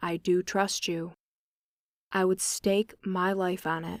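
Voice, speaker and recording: Using a put-on character voice, a woman growls and rumbles at a medium pitch, delivering monotone, flat intonation at a fairly slow pace. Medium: read story. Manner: grave and earnest.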